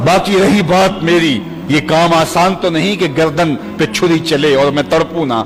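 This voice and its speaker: A man's passionate, fairly high voice with ordinary pitch variation and very even loudness, music in the background. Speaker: Islamic preacher. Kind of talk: religious sermon (bayan) on a prophet's story. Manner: passionate, emotional preaching delivery.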